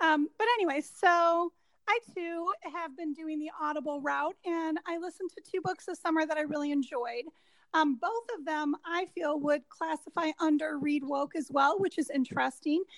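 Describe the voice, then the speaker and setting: Pitched extremely high, a woman speaks at a moderate pace in a dry, close sound with no echo. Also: ordinary pitch variation. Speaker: podcast co-host, librarian. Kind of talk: casual chat.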